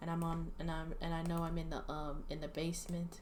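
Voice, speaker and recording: Audible room echo surrounds a woman speaking at a fairly quick pace in a fairly low, monotone voice with flat intonation. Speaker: vlogger sharing opinions. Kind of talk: solo opinion monologue. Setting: home recording in basement. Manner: halting, many restarts and fillers; quiet, trying not to wake someone.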